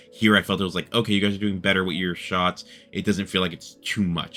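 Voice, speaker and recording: Very fast, monotone, flat speech from a man with a very deep, low pitch, music in the background. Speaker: movie reviewer. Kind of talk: casual review monologue. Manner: hesitant, many fillers.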